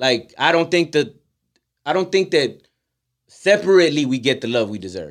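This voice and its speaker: An animated, passionate man with a fairly high pitch and vocal fry, very wide pitch swings, moderate pace and long, frequent pauses. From Houston, Texas. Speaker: rapper and podcast host. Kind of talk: casual interview chat. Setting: studio.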